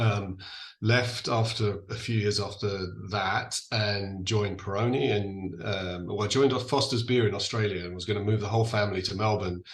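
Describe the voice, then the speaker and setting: With audible room echo, a man talks at a moderate pace in a fairly low, somewhat breathy voice with fairly even intonation. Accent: English. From England. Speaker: distillery founder. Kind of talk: podcast interview.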